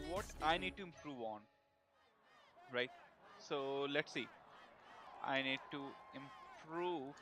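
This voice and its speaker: Against music in the background, the speaker uses a non-native accent, a very slow pace, ordinary pitch variation and long, frequent pauses. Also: man, fairly high pitch for a man. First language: not English. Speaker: live streamer, programmer. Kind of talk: casual live stream talk. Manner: halting, many fillers.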